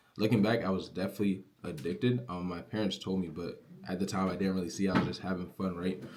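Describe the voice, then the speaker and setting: Very deep and low in pitch, a man speaks at a very fast pace with hardly any pauses and fairly even intonation. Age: young. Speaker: online business creator. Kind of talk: casual motivational vlog. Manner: casual, filler-heavy.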